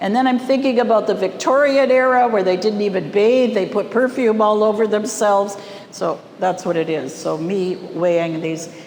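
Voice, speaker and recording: With a Canadian accent, a woman speaks at a medium pitch and a moderate pace with lively intonation. Audible room echo and noticeable background noise are present. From Canadian prairies, Winnipeg. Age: 60s. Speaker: artist. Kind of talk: gallery talk. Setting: art gallery with audience. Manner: casual, conversational.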